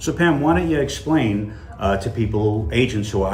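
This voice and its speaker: The speaker has a New York accent and very wide pitch swings. Audible room echo and noticeable background noise are present. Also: man. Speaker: real estate podcast co-host. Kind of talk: casual podcast conversation.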